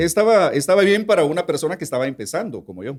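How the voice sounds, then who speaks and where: A man talks at a very fast pace with very wide pitch swings. His voice carries vocal fry. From Guatemala. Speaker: radio announcer. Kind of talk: interview answer. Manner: casual conversational.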